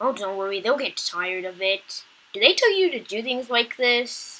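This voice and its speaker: A woman puts on a character voice, pitched fairly high. She keeps a moderate pace. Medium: read story. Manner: polite, respectful.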